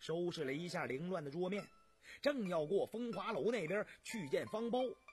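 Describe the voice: Here is plain reading aloud. The intonation is lively.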